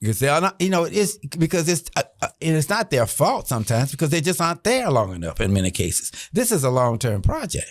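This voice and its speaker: A man's fairly high voice with an American accent, very fast with hardly any pauses, very wide pitch swings, very even loudness and vocal fry, in a dry, close sound with no echo. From US South (Orlando, Florida). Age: 70s. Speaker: retired admiral and educator. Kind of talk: podcast interview. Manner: frank, unfiltered.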